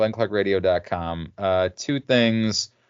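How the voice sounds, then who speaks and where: A man talks at a fairly slow pace. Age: 40s. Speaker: wrestling podcast host. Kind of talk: casual chat. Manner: animated.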